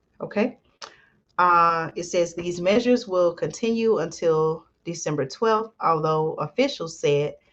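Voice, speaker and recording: A soft-spoken woman with an American accent talks at a fairly slow pace. Her pitch is fairly low, with ordinary pitch variation. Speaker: commentary channel host. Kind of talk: news commentary. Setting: home recording at night. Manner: soft-spoken, lowered voice; hesitant with fillers.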